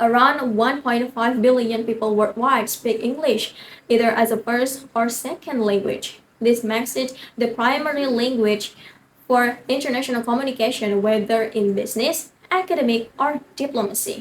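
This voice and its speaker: A woman speaks with an Indonesian accent at a high pitch. Her intonation stays fairly even. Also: moderate pace. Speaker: university student speech contestant. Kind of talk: prepared competition speech. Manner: formal.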